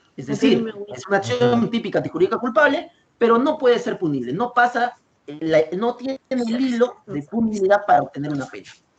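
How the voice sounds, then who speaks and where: A man speaks with a high pitch that swings very widely. Music plays behind him. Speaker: law lecturer. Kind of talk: lecture. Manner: variable pace, sometimes fast.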